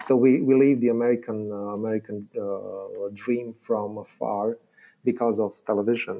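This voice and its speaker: A man with a Romanian accent speaks at a moderate pace in a medium pitch, his intonation flat and monotone. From Romania, Transylvania. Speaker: philosophy lecturer. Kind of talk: academic explanation in interview. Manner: halting, many fillers and repetitions.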